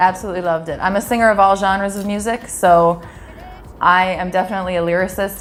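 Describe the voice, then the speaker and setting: A woman talks very fast at medium pitch with a monotone, flat intonation and an American accent. Noticeable background noise runs underneath. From US Midwest, Wisconsin. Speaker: singer. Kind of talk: interview. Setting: Trinidad.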